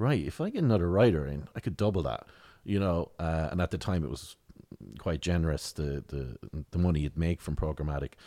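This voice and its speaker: A man with a rural Tipperary accent speaks at a very deep, low pitch, with a dark, mellow tone and ordinary pitch variation. His pace is fairly quick, on a very clean recording with a silent background. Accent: rural Tipperary Irish. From Ireland, rural County Tipperary. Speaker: satirical writer and comedian. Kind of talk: casual interview chat. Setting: in-person at the guest's office.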